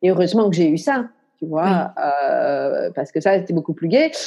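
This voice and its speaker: The woman's voice has a dark, mellow tone and a medium pitch. She speaks at a moderate pace. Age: 50s. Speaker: coach and speaker on high potential. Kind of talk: interview testimony. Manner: hesitant, many fillers.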